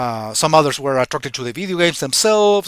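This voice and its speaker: Speaking with a non-native accent, a man with a fairly high pitch keeps a fairly quick pace. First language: Spanish. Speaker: YouTuber, retro gaming commentator. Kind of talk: casual vlog monologue. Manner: halting, many repetitions and fillers.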